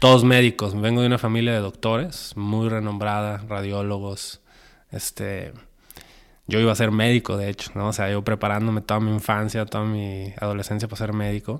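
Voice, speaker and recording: Speaking at a moderate pace, a man with a Mexican accent has a fairly low voice. The recording is very clean, with a silent background. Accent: Mexican Spanish (Jalisco). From Mexico, Guadalajara. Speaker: film director and producer. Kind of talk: interview. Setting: recording venue. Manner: animated.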